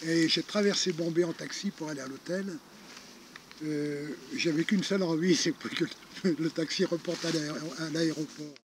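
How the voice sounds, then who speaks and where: Delivered at a moderate pace with fairly even intonation, the speech has long, frequent pauses. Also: man, high pitch for a man. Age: 60s. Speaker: retired charity founder. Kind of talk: interview. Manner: hesitant, many fillers.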